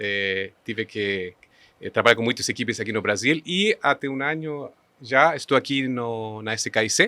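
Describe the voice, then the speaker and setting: A man speaks at a medium pitch in a bright, sharp tone with ordinary pitch variation. The sound is dry and close with no echo, recorded very cleanly against a silent background. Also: moderate pace. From Chile. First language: Spanish (speaking Portuguese). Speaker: engineering company executive. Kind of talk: podcast interview. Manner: halting.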